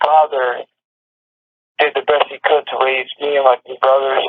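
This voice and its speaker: In an American accent, a man with a fairly high pitch speaks at a moderate pace with monotone, flat intonation. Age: 40s. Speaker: prison inmate. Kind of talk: personal testimony. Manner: halting.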